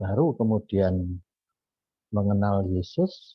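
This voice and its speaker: This man talks at a very slow pace, his pitch fairly low. His voice is somewhat breathy. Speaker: Bible study participant. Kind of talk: testimony.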